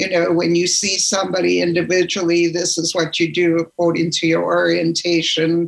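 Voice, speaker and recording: With hardly any pauses, a woman talks at a moderate pace in monotone, flat intonation and very even loudness, over noticeable background noise. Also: fairly low pitch for a woman. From Zimbabwe. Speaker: psychotherapist. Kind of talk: casual chat. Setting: video call.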